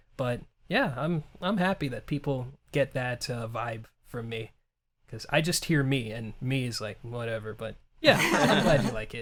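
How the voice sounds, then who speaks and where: Here a man with a medium pitch speaks at a fairly slow pace. His loudness swings a lot. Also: ordinary pitch variation. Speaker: interviewer and YouTuber. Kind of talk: interview. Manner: upbeat, comedic.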